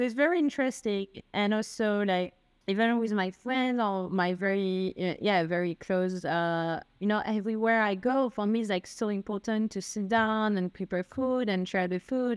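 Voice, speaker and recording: At a moderate pace and medium pitch, a woman with a French accent speaks with ordinary pitch variation, the sound dry and close with no echo on a very clean recording with a silent background. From France. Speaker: expat, consultant. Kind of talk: casual interview. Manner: halting, many fillers.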